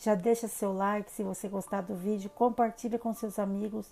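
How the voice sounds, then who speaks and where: The woman's intonation is monotone and flat, at a fairly slow pace. Her tone is dark and mellow with a fairly high pitch. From Brazil, São Paulo state interior (Salto). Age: 30s. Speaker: holistic psychotherapist, channel host. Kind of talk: personal life story vlog. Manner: casual, many fillers (né).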